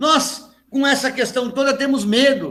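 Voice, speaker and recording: A man speaks with an extremely high pitch. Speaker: pastor. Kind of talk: sermon.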